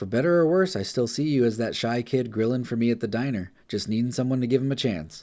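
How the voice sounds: The delivery is a natural reading voice. Pitch variation is ordinary.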